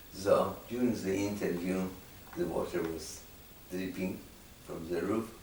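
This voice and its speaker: With a very deep, low pitch, a man speaks at a fairly slow pace with long, frequent pauses, over noticeable background noise and audible room echo. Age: 90s. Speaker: Holocaust survivor and testimony archivist. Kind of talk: interview testimony.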